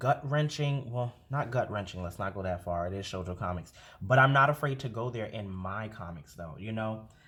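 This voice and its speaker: Somewhat breathy, a man speaks in an animated tone with very wide pitch swings. The recording is very clean, with a silent background. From New York. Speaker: comic artist, streamer. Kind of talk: casual monologue while drawing.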